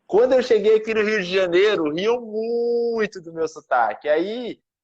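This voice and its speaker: In a Goiás accent, a man speaks at a fairly slow pace with lively intonation. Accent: Goiás accent with strong retroflex R. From Goiás, Brazil. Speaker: podcast host, math teacher. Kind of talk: casual chat.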